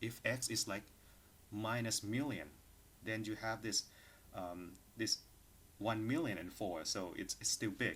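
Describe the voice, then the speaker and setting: Pausing long and often, a man with a fairly low pitch talks at a fairly slow pace. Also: ordinary pitch variation. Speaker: university lecturer. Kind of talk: lecture. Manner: hesitant with fillers.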